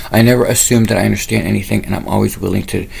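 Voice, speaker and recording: Noticeable background noise accompanies a man who talks very quickly. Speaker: spiritual channel host. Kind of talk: monologue to camera. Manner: fast; rambling, casual.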